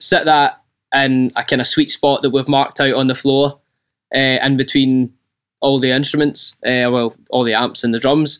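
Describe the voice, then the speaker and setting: With a Scottish accent, a man talks at a moderate pace and medium pitch in a monotone, flat way, the sound dry and close with no echo. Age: 20s. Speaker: band singer and guitarist.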